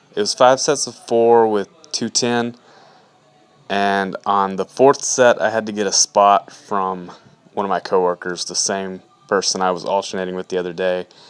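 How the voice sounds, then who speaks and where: An unremarkable speaking voice from a man, fairly low in pitch, with ordinary pitch variation and a moderate pace. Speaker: fitness vlogger and personal trainer. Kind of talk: video voiceover narration. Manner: casual.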